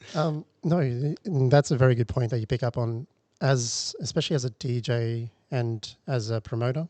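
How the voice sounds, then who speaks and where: A man with an Australian accent has a dark, mellow tone and ordinary pitch variation, heard in a dry, close sound with no echo. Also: medium pitch for a man, moderate pace. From Darwin, northern Australia. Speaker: dance teacher and event organiser. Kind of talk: casual interview chat.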